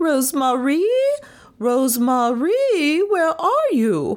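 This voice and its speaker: A female-sounding, put-on character voice with a high pitch speaks at a very slow pace. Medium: read story. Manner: scolding.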